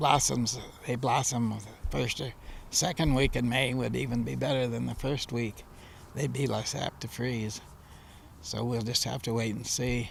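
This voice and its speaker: A man with a Midwestern US accent and vocal fry, at a moderate pace with fairly even intonation. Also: medium pitch for a man. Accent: US Midwest. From Genesee County, Michigan. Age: 90s. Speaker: apple farmer. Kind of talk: news interview. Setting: outdoors in orchard.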